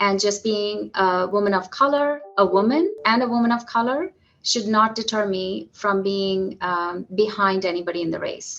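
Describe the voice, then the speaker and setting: A woman speaks at medium pitch with a slight Indian accent and ordinary pitch variation. She keeps a moderate pace with hardly any pauses. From southern India (Madurai). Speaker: physician executive. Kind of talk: podcast interview.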